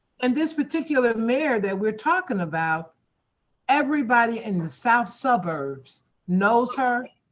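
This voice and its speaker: A woman speaks at a very slow pace in a fairly high pitch. Her voice swings very widely up and down. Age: 60s. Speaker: community meeting host. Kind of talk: heated debate. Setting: video call. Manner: halting.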